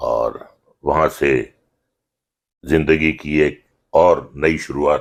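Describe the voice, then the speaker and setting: A man's very deep, low voice with vocal fry and monotone, flat intonation. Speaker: actor. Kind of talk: interview answer.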